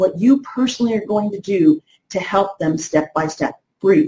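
Somewhat breathy with a dark, mellow tone, a woman speaks at a fairly high pitch in an American accent. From New Jersey. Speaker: network marketing coach. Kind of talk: live-stream tutorial. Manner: energetic.

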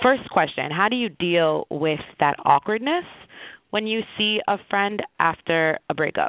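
With lively intonation and a fairly slow pace, a plain, everyday voice carries the speech. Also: woman, medium pitch for a woman. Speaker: interviewer. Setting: phone call.

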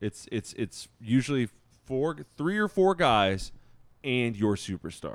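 In a very clean recording with a silent background and a dry, close sound with no echo, a man talks at a very slow pace with very wide pitch swings. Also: medium pitch for a man. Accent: American. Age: 30s. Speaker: sneaker podcast co-host. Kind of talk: casual chat.

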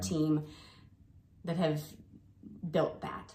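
A woman with an American accent, with audible echo in the room. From Ohio, US. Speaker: physical therapy clinic co-founder. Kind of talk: casual chat.

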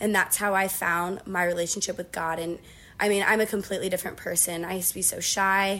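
In a very clean recording with a silent background, a woman speaks with a Midwestern American accent. Her medium-pitched voice moves at a very fast pace in a flat monotone. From Northeast Ohio, US. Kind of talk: casual interview.

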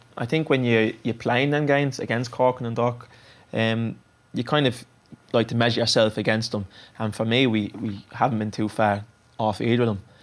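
A man has a plain, everyday voice at a medium pitch. He talks at a moderate pace with fairly even intonation. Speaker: footballer. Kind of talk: casual chat. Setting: studio.

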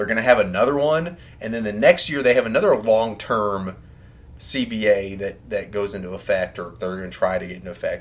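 An ordinary speaking voice with an American accent, fairly quick in pace, with ordinary pitch variation and big swings in loudness. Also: man, medium pitch for a man. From Texas, Houston. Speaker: podcast co-host. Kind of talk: casual chat.

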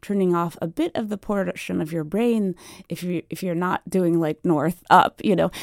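A woman with a plain, everyday voice, medium pitch, ordinary pitch variation, and fairly slow pace, in a dry, close sound with no echo on a very clean recording with a silent background. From Washington DC and Virginia Beach. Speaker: cartographer. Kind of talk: radio interview.

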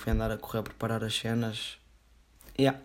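On a very clean recording with a silent background, a man with a European Portuguese accent speaks at a moderate pace in a monotone, flat intonation. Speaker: podcast host. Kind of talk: casual solo podcast monologue.

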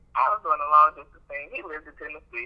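A woman speaks at a fairly quick pace. There is noticeable background noise behind her. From Chicago South Side, US. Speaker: accountant and business owner. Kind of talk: casual chat.

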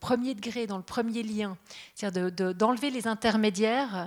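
In a very clean recording with a silent background, a woman talks in a normal speaking voice at a moderate pace with ordinary pitch variation. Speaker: radio journalist. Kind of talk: panel talk with host.

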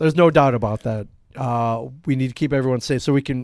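A normal speaking voice from a man, medium-pitched, its intonation fairly even. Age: 40s. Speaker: comic shop owner and podcast co-host. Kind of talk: casual chat. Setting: live broadcast from a comic shop.

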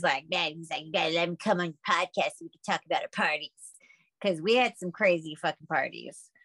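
A woman talks at a medium pitch with ordinary pitch variation. She uses a normal speaking voice. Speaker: podcast co-host. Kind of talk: casual banter.

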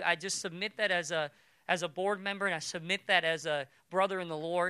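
A man's raised, projected voice with an animated, bright and sharp tone, dry and close with no echo. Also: very clean recording, silent background. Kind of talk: sermon. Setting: church. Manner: long pauses before key points.

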